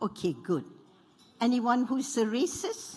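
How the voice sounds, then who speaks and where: A woman speaks with vocal fry. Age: 80s+. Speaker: panelist, former member of parliament. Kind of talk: panel talk.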